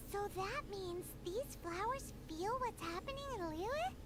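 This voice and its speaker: A put-on character voice at extremely high pitch talks at a fairly slow pace over loud background noise. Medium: video game. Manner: eager, curious.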